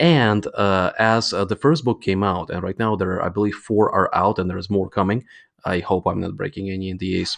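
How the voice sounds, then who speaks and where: Recorded dry and close with no echo against a quiet background, a man talks at a fairly quick pace with a fairly low pitch and ordinary pitch variation. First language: not English. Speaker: games company CEO. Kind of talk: interview. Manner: hesitant, many fillers.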